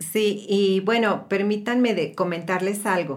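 A woman talks at a very slow pace and medium pitch. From Mexico. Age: 50s. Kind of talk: casual chat.

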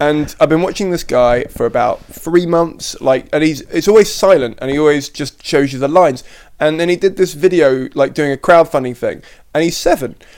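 Heard here is an unremarkable speaking voice, a man's, fairly high in pitch with ordinary pitch variation. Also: moderate pace. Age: 20s. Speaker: comedian and podcast host. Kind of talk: casual chat.

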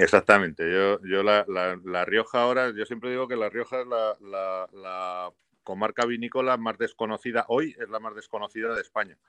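A man's ordinary speaking voice at medium pitch and moderate pace, with fairly even intonation and hardly any pauses, dry and close with no echo over a quiet background. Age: 50s. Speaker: winemaker. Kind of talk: casual interview.

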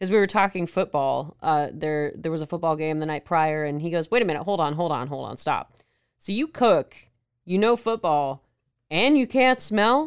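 A woman with a Southern US accent speaks at a fairly low pitch and a moderate pace, her tone animated and intonation lively. The recording is very clean with a silent background. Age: 30s. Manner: animated, jokey.

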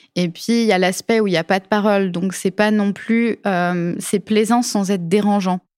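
A woman at medium pitch and moderate pace with hardly any pauses, very even loudness, a dry, close sound with no echo, and a very clean recording with a silent background. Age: 20s. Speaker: UX designer. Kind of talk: interview. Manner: hesitant with fillers.

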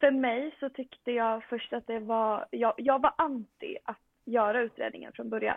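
Fairly high in pitch, a woman speaks in a plain, everyday voice. Her intonation is fairly even and her pace is fairly slow. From Sweden, Västerås. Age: 20s. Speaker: medical student and powerlifter. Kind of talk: casual interview.

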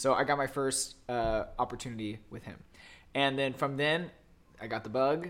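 Recorded very cleanly against a silent background, the speech proceeds at a moderate pace. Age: 20s. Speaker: drag queen. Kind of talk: casual chat. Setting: living room, sitting on the floor.

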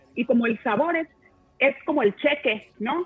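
Ordinary pitch variation at a fairly slow pace. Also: woman. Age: 40s. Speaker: nutrition and wellness panelist. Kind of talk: panel discussion.

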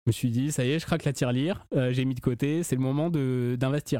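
At a moderate pace and medium pitch, a man speaks with a dark, mellow tone and fairly even intonation. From southern France. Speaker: podcast host. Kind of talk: casual chat.

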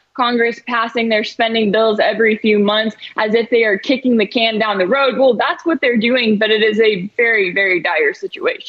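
This woman has an unremarkable speaking voice, fairly high, with an American accent, very even loudness, ordinary pitch variation and a moderate pace. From North Texas. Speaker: news commentator. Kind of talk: news commentary interview.

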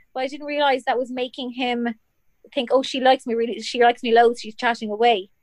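On a dry, close recording with no echo, a woman with a high pitch speaks at a very fast pace in a monotone, flat intonation, her loudness swinging widely. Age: 30s. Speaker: comedian. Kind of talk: casual chat.

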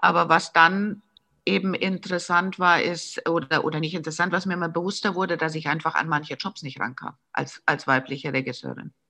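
A woman speaks at a fairly quick pace in a fairly low pitch, her tone bright and sharp with ordinary pitch variation. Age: 50s. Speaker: commercial film director. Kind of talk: interview. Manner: hesitant, many fillers.

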